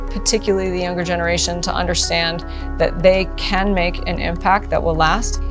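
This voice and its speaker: A fairly quick pace over clear music in the background. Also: woman. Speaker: competition judge. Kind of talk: interview answer. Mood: earnest, encouraging. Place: workshop.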